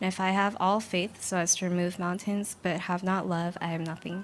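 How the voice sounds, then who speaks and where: A woman's plain, everyday voice at medium pitch, moderate pace, and fairly even intonation. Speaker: scripture reader. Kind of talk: reading aloud.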